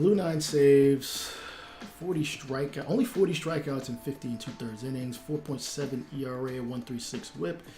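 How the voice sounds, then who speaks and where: The speaker has a New York accent. Background noise is noticeable. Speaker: gaming streamer. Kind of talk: casual live stream commentary. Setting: live stream with game and music. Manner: fast.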